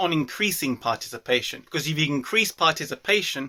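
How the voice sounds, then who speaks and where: Bright, sharp tone with a British accent at a moderate pace, on a very clean recording with a silent background. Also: man. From UK. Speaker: athletics commentator, video host. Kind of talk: solo talk-to-camera commentary.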